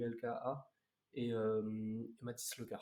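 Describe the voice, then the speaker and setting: The speaker is a man. Dark and mellow describes his tone. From Bordeaux, France. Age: young. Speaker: young rapper. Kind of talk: casual chat. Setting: live stream. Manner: halting.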